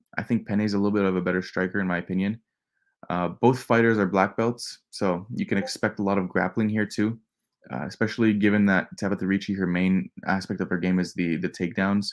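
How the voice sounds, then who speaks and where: At a fairly quick pace, a man with a fairly low pitch speaks with fairly even intonation in a very clean recording with a silent background. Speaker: MMA betting analyst. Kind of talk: live stream fight breakdown. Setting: home, nephew sleeping next room. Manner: kept quiet, not loud; casual, many fillers.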